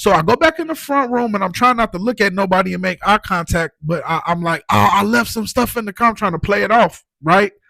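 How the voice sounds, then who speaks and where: A man with an American accent talks very fast in a raised, projected, high voice with a bright, sharp tone. The recording is very clean, with a silent background and a dry, close sound with no echo. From Chicago area, Illinois. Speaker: guest sharing recovery story. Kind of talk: personal testimony in casual interview. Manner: repetitive filler words, stammering.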